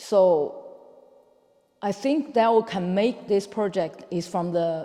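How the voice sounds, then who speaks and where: A man with a high voice speaks very slowly, his intonation lively. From China, Beijing. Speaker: artist. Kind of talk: interview. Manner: halting.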